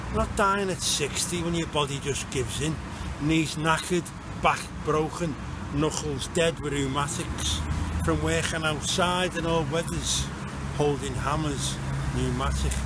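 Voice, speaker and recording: Over loud background noise, a man speaks with long, frequent pauses in a dry sound with no echo. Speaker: spoken word poet and groundworker. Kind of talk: spoken word poetry performance, rhymed verse. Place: street. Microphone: phone near.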